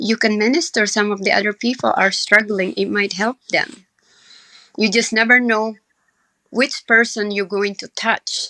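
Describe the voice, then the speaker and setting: In a dry, close recording with no echo, a woman speaks at a moderate pace, her fairly high pitch carrying a bright, sharp tone and fairly even intonation. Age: 60s. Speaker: cancer survivor and home baker. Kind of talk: interview.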